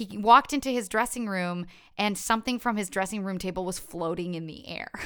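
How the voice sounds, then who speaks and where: Recorded very cleanly over a silent background, a woman with a Canadian accent speaks at medium pitch in an animated tone, with ordinary pitch variation and big swings in loudness. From Canada (Ottawa, Ontario; born in Montreal). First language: French. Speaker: stage performer. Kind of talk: casual chat.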